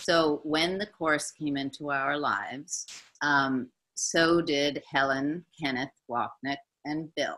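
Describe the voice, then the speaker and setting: A woman's very slow, very deep and low voice, bright and sharp in tone, with fairly even intonation and an American accent. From United States. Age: 60s. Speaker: spiritual teacher. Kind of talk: testimony. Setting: video call.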